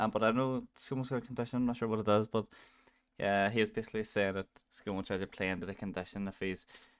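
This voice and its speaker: A man talking at a very fast pace with fairly even intonation, in a very clean recording with a silent background and a dry, close sound with no echo. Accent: strong Northern Irish. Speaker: streamer. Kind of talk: reaction commentary. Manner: hesitant.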